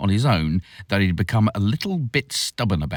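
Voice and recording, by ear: The voice reads aloud in a natural way.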